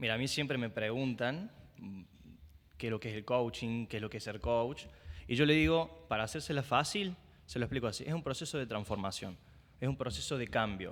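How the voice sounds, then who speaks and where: A man speaks in a plain, everyday voice at medium pitch, fairly quickly and with lively intonation, on a very clean recording with a silent background. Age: 20s. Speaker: coach and advertiser. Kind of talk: casual chat.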